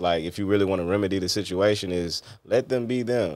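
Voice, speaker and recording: A man's very deep, low voice, with ordinary pitch variation and a fairly quick pace, over a quiet background. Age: 30s. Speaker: interview show host; interview guest. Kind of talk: casual interview chat. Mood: relaxed, reflective. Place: studio. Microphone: studio mic.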